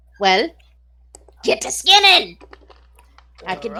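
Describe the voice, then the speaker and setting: Here a woman uses a put-on character voice. It sits fairly high in pitch. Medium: actual play. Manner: gruff, blunt.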